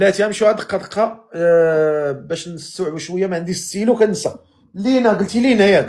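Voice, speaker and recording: Speech in a Moroccan accent at a moderate pace, with hardly any pauses. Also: man, high pitch for a man, ordinary pitch variation. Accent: Moroccan Arabic (Darija). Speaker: live-stream host. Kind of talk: casual chat.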